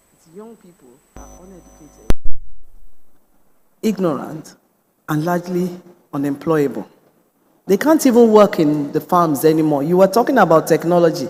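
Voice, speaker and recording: Against music in the background, a man with a high pitch talks at a moderate pace with ordinary pitch variation, big swings in loudness and long, frequent pauses. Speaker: conference speaker. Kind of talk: conference speech.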